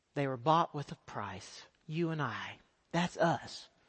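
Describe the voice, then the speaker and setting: Speaking with a Texan accent, the man has a fairly high pitch and ordinary pitch variation. He talks at a fairly slow pace. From Texas. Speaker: missionary. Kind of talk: sermon. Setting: church.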